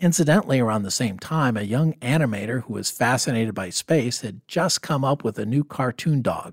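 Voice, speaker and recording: A man with an ordinary speaking voice, medium pitch and lively intonation, at a fairly quick pace with hardly any pauses, on a very clean recording with a silent background and a dry, close sound with no echo. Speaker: podcast host on personal finance. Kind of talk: podcast interview.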